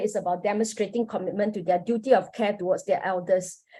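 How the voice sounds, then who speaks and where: Somewhat breathy and medium in pitch, a woman with a Singaporean accent talks at a very fast pace. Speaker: academic researcher, panelist. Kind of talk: academic conference presentation. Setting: online forum. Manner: formal.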